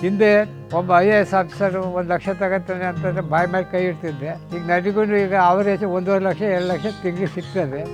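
Over music in the background, a man with a high pitch speaks with fairly even intonation. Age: 80s+. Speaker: farmer. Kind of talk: interview answer. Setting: outdoors.

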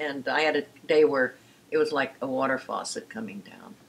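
This woman's voice sits extremely low in pitch, with vocal fry and a slightly husky edge. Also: ordinary pitch variation, moderate pace.

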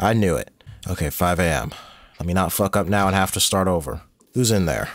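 Vocal fry in a very deep, low male voice, delivered at a fairly quick pace. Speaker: gaming YouTuber. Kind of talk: let's play commentary. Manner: casual, profane.

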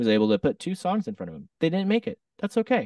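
A man with an American accent talks at a very fast pace with vocal fry and very wide pitch swings, in a dry recording with no echo and a quiet background. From US West Coast, southern Oregon. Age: 30s. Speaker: singer-songwriter and DJ; DJ. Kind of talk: casual interview chat. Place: home room. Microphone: studio mic.

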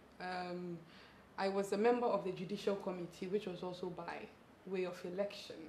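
Speaking at a fairly quick pace, a woman keeps a monotone, flat intonation amid light background noise and audible room echo. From Ghana. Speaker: lawyer and parliamentary candidate. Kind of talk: interview. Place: home room. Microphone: lapel.

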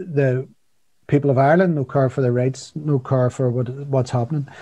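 Over a quiet background, a man speaks at a moderate pace with fairly even intonation and a somewhat breathy voice. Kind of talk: political update talk. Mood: serious, concerned. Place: home room. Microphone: video call.

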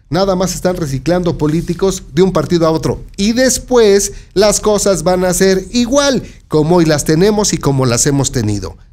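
A man's high voice with a central Mexican accent, lively intonation, very even loudness and a moderate pace. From Mexico, San Martín Texmelucan, Puebla; Puebla, Mexico. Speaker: local news presenter; news presenter. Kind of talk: news commentary. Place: studio. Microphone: studio mic.

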